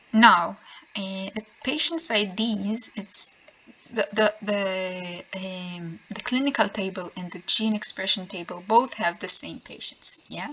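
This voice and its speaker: A woman with a non-native accent speaks very slowly at a medium pitch with ordinary pitch variation. Noticeable background noise runs behind her. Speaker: programmer. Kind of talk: software tutorial explanation. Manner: slow, hesitant with many filler sounds.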